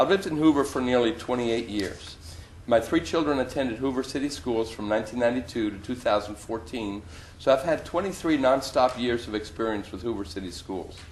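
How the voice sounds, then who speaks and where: A man's medium-pitched voice, fairly quick and lively in intonation, over noticeable background noise. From Germany. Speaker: school board applicant. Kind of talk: prepared interview statement. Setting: public board interview. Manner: formal.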